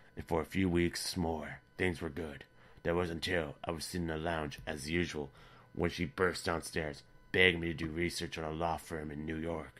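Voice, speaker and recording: A raspy, put-on character voice delivers its lines at a moderate pace in a flat monotone. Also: man, very deep, low pitch for a man. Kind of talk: online story reading. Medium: read story. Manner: dry, sardonic.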